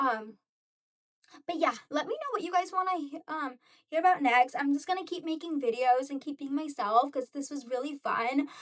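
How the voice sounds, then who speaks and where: Her tone animated, a woman speaks in a high voice with ordinary pitch variation. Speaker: lifestyle vlogger. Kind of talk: casual monologue to camera. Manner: fast.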